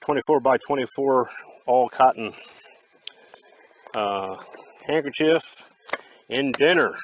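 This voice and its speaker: A man speaks at a fairly slow pace with ordinary pitch variation and long, frequent pauses. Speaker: outdoors vlogger. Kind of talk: casual vlog narration. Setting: outdoors, camping in rain.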